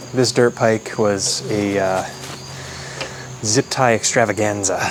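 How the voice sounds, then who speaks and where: Over noticeable background noise, a man speaks very slowly. His fairly low voice keeps a fairly even intonation. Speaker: motorcycle mechanic. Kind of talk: casual talk to camera.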